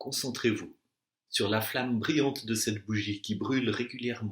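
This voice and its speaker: Ordinary pitch variation marks a man's voice pitched in the medium range. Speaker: meditation and Yoga Nidra guide. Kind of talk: guided relaxation / Yoga Nidra session. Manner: calm, slow, soothing.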